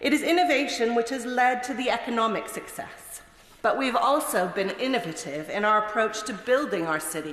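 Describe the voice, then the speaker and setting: At a moderate pace, a woman with a Mid-Atlantic accent speaks in a fairly high pitch with very wide pitch swings. Room echo is audible, and background noise is noticeable. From Canada. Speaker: member of parliament. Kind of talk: parliamentary maiden speech. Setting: parliament chamber.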